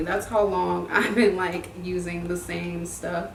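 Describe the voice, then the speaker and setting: A woman speaks with audible room echo. Noticeable background noise can be heard. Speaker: beauty vlogger. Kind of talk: makeup tutorial. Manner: casual, chatty.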